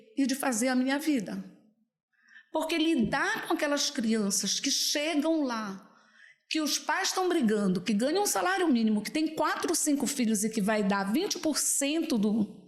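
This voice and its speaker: Audible room echo surrounds a woman whose high voice moves with lively intonation. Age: 60s. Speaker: political candidate, public defender. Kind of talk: videocast interview. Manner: animated.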